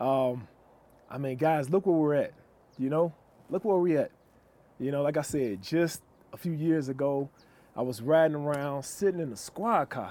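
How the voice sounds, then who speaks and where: A man with an American accent and a fairly high-pitched voice speaks at a moderate pace with ordinary pitch variation and long, frequent pauses. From Chicago. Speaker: police officer and author. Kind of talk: casual chat. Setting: outdoors.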